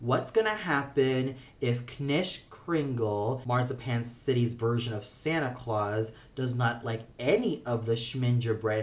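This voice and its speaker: A man, very slow and somewhat breathy. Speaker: cartoon reviewer. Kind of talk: review commentary. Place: home room. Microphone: phone near.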